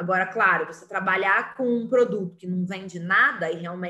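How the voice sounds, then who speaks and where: With audible room echo around her, a woman talks, her pitch varying in an ordinary way. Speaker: teacher. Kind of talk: online lecture.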